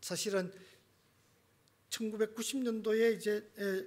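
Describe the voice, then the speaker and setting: The speaker is a man. He talks at a moderate pace. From Gyeongsang, South Korea. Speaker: missionary, seminary teacher. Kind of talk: sermon. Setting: church.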